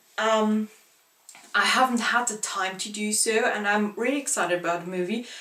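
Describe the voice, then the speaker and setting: At a moderate pace, a woman with a non-native accent speaks at a fairly high pitch with fairly even intonation over noticeable background noise. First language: not English. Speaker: book vlogger. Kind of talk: casual vlog monologue. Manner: halting.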